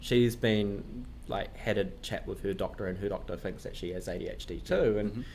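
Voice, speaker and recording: A man with a New Zealand accent, fairly low in pitch, at a moderate pace, with audible room echo. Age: 20s. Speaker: management consultant. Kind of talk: casual interview chat. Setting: office room, in person.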